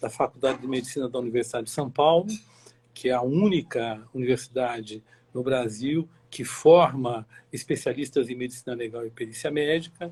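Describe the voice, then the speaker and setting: Somewhat breathy, a man speaks at a moderate pace with a medium pitch and ordinary pitch variation. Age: 60s. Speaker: forensic medical expert. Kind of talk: interview. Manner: halting, many fillers.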